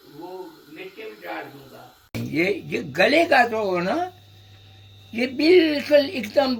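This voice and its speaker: An extremely high-pitched man's voice makes very wide pitch swings and big swings in loudness, with noticeable background noise behind it. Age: 80s+. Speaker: home cook. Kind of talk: casual cooking talk. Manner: humorous, chatty.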